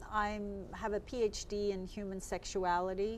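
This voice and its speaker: Noticeable background noise runs through the clip. Over it, a woman talks at a medium pitch. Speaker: psychotherapist and sex researcher. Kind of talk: interview. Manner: loud.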